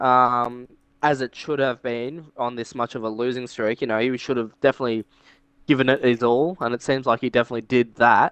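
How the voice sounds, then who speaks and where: A man with an Australian accent talks at a fairly quick pace in a medium pitch. His intonation is monotone and flat, and the sound is dry and close with no echo over a quiet background. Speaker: podcast co-host. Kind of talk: casual chat.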